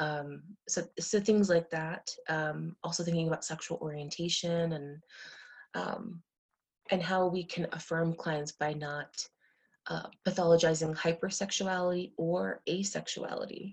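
A somewhat breathy woman with an American accent, fairly low pitch and monotone, flat intonation, at a fairly slow pace with long, frequent pauses. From United States, Indian American family. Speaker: sex therapist and clinical social worker. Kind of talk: podcast interview.

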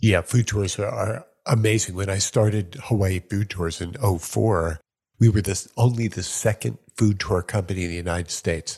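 With an American accent, a man speaks in a fairly low pitch that is somewhat breathy. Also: ordinary pitch variation, moderate pace. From New York. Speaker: podcast host. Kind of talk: casual interview chat. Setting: video call.

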